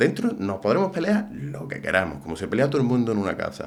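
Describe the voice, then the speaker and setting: A man talks at a fairly quick clip with vocal fry and very wide pitch swings, and audible room echo surrounds him. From Andalusia, Umbrete (Seville). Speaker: political commentator. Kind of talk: casual interview chat.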